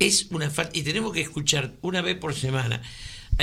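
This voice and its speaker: A man with a Rioplatense accent speaks at a fairly high pitch, his tone bright and sharp, with vocal fry. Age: 70s. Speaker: radio co-host, political commentator. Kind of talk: casual political chat on radio. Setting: radio studio.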